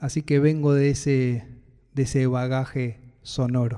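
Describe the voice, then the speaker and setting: A man's dark, mellow tone with a Buenos Aires accent. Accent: Rioplatense Spanish (Buenos Aires). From Buenos Aires city, Argentina. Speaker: singer-songwriter and music producer. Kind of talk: first-person narration about his music.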